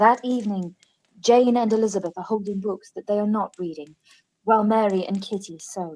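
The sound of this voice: At a fairly quick pace, a woman speaks with a medium pitch and a dark, mellow tone. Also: fairly even intonation.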